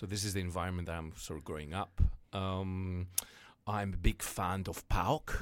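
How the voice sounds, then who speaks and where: Over music in the background, a man with a Greek accent speaks at a moderate pace in a very deep, low pitch. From Greece, Thessaloniki. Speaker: entrepreneur. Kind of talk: interview, life story. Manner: animated.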